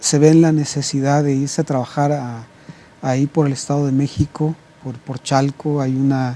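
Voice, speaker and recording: His intonation is monotone and flat. The man's voice sits fairly high. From Mexico, Puebla. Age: 50s. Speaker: pastor. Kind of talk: interview. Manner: halting, many fillers and repetitions.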